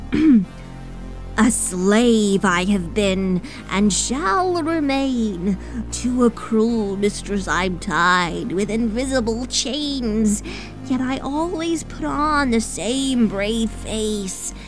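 Over clear background music, a put-on character voice moves at a very slow pace. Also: woman, fairly high pitch for a woman. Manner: solemn, cryptic.

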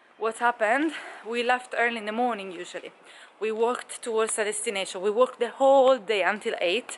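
Light background noise sits behind a woman's voice. She talks at a fairly quick pace with fairly even intonation. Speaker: travel vlogger. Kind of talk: casual vlog chat. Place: street. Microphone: phone near.

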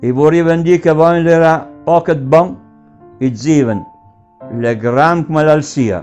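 With music in the background, a man with an Emilian accent speaks at a fairly slow pace and a fairly high pitch, with ordinary pitch variation. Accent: local Emilian dialect of Varsi. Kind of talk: dialect poetry reading.

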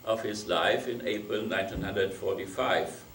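A man with a German accent, audible room echo and light background noise. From Germany, Frankfurt. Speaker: professor; guest lecturer. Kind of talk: lecture. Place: hall.

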